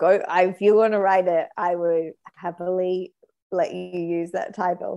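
A woman with an Australian accent, medium pitch, dark, mellow tone and monotone, flat intonation at a fairly slow pace. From Australia, New South Wales. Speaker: comedic actress. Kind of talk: improvised comedy chat.

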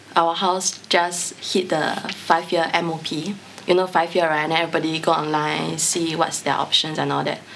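Fairly low-pitched woman at a fairly slow pace, with hardly any pauses and noticeable background noise. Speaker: private tutor and podcast team member. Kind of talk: casual interview chat. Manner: animated, laughing.

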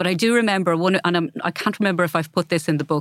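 Speaking very fast, a woman with an Irish Midlands accent keeps her intonation fairly even. The recording is very clean, with a silent background. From Ireland, County Laois. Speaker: novelist, former lawyer. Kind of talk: interview conversation.

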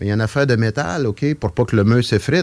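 A man talks at a very fast pace. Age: old. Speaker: retired teacher and performer. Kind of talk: casual radio interview. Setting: radio studio.

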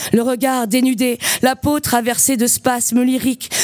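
Over music in the background, a woman with a high pitch speaks at a very slow pace. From western France, Loire-Atlantique. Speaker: slam poet and performer. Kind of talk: poetry performance; casual interview.

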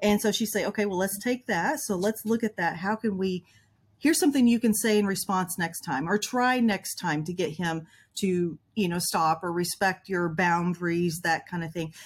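A woman talks at a moderate pace with a medium pitch, ordinary pitch variation and a somewhat breathy quality. The recording is very clean, with a silent background. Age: 50s. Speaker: trauma coach. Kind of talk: interview.

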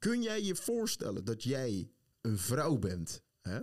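A man is talking. He goes at a very slow pace. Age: 20s. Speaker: podcast host. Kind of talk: casual chat. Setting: studio.

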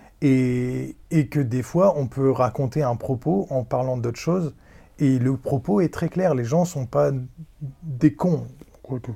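A man speaks at a very slow pace in a dark, mellow tone, somewhat breathy, with ordinary pitch variation. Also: medium pitch for a man. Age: 30s. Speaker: podcast guest. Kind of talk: casual chat.

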